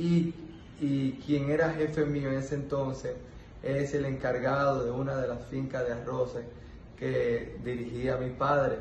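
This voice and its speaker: A man speaks fairly slowly at a fairly high pitch, in a monotone, flat delivery. Audible room echo and noticeable background noise fill the recording. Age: 20s. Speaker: agricultural entrepreneur. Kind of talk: testimonial monologue. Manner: halting, many fillers.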